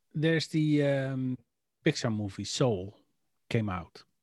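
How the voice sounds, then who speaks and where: With a Dutch accent, a man talks at a fairly slow pace and ordinary pitch variation, in a dry, close sound with no echo. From Netherlands. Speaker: podcast co-host. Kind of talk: casual chat.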